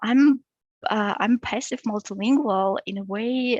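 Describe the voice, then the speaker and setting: A somewhat breathy woman with a Russian accent, fairly slow, with fairly even intonation. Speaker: PhD researcher. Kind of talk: academic seminar presentation. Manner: halting, many fillers.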